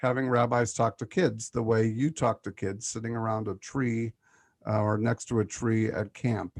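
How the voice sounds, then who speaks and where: Using an unremarkable speaking voice with an American accent, a man talks at a moderate pace and medium pitch with fairly even intonation, in a dry, close sound with no echo. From Michigan, Detroit. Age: 50s. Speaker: rabbi. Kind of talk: tribute speech; moderated community Q&A. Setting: video call.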